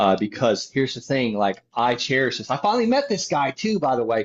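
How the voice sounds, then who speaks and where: A man talks with a slight Southern US accent. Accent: slight Southern drawl. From Florida (Okeechobee). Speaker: land investor. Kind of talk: podcast interview.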